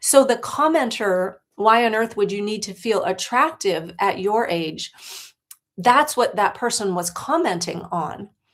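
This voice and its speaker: With an American accent, a woman in an ordinary speaking voice talks fairly slowly at a fairly high pitch, her intonation lively. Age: 60s. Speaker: life coach. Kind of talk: livestream talk. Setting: livestream.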